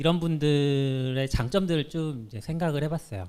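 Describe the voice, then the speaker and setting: A man speaks with a fairly high pitch and a dark, mellow tone. His pitch varies in an ordinary way. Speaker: software engineer giving a talk. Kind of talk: conference talk. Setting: stage with audience. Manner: fast when nervous.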